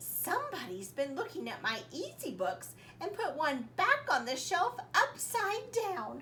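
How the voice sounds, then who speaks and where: In a put-on character voice, a woman speaks at an extremely high pitch over clear background noise. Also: fairly slow pace. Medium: read story.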